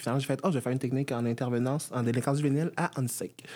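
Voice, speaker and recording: A man speaks with ordinary pitch variation. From Florida, US (Miami, West Palm Beach). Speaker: dance teacher. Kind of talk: interview.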